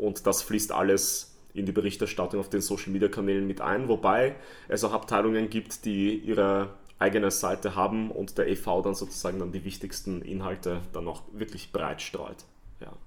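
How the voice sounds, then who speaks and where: Recorded very cleanly against a silent background, a man speaks at a moderate pace and fairly low pitch with monotone, flat intonation. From Vienna, Austria. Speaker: stadium announcer. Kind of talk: casual chat.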